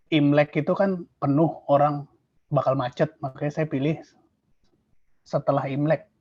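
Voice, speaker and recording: A man with a fairly high, somewhat breathy voice speaks at a moderate pace. His intonation is monotone and flat, broken by long, frequent pauses. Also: dry, close sound with no echo. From Indonesia. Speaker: exam testimonial speaker. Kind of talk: testimony.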